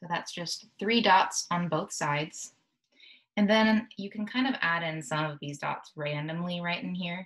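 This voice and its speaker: A woman speaks at a moderate pace in a normal speaking voice, her fairly low pitch moving with ordinary variation. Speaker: art teacher. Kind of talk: tutorial.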